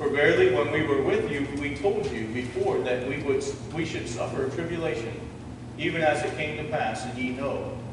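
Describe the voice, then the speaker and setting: A man talks at a moderate pace with ordinary pitch variation, with audible room echo and noticeable background noise. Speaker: pastor. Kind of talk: scripture reading in a sermon. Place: church.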